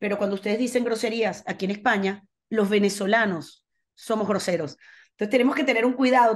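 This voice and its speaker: In a quiet background, a woman with a fairly high voice talks at a very fast pace with ordinary pitch variation. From Venezuela. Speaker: foundation manager; interviewee. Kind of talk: casual interview. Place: home room. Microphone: video call.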